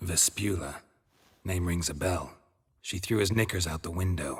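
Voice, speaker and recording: A man's put-on character voice, very deep and low, at a moderate pace, on a very clean recording with a silent background. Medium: video game. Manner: dry, terse, understated.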